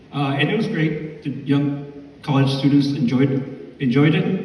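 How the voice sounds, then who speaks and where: Noticeable background noise and audible room echo surround a man speaking at a fairly slow pace. His pitch is fairly high and his intonation fairly even. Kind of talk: award presentation speech. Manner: quiet and reserved.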